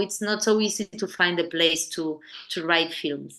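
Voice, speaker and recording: A woman speaks with an Argentine accent at a medium pitch and a moderate pace. Her tone is bright and sharp, her intonation fairly even. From Argentina, La Plata. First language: Spanish. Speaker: film director. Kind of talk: interview conversation. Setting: podcast interview. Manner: halting, many repetitions and fillers.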